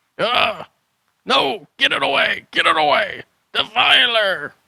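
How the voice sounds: Using a put-on character voice, a man talks slowly at an extremely high pitch, with lively intonation, vocal fry, a slightly husky edge and a bright, sharp tone.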